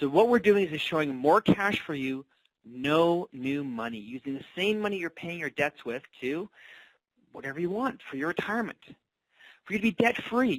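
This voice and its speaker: In a dry, close sound with no echo, a man speaks in a high voice with very wide pitch swings. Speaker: financial coach presenter. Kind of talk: webinar sales pitch. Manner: fast.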